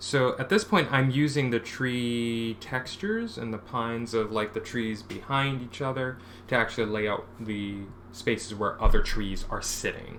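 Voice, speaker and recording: Soft-spoken, a man talks at a medium pitch and a moderate pace with ordinary pitch variation. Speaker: comic artist streaming work. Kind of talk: casual live-stream talk while drawing. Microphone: too quiet for captioner, mic dropping.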